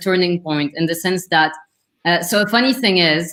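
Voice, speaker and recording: A woman speaks with a strong French accent. Her pitch is medium and varies in an ordinary way. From Lebanon. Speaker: career coach. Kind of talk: interview. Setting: live stream video call.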